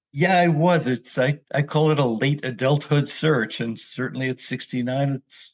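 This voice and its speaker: With an American accent, a man talks at a fairly high pitch, somewhat breathy, with fairly even intonation over a quiet background. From New York City area. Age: 70s. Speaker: memoir author. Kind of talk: personal storytelling interview.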